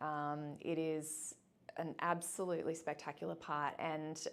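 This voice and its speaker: Speaking with an Australian accent, a woman has a fairly low pitch. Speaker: boarding school admissions officer. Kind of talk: interview. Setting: office.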